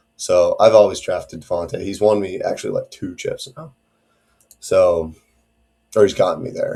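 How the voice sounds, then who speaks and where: A man talks at a moderate pace with long, frequent pauses and big swings in loudness. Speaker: fantasy football content creator. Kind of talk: casual solo commentary video. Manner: casual, filler-heavy.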